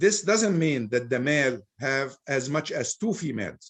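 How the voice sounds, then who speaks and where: Speaking with an Arabic accent, a man uses a fairly high pitch and a fairly slow pace. His pitch swings very widely. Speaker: Islamic scholar speaker. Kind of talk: Q&A discussion.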